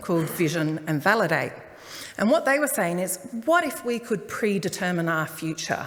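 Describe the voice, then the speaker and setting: A woman with an Australian accent and lively intonation at a moderate pace, amid audible room echo and noticeable background noise. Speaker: transport planner. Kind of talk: public talk. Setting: community hall forum with audience.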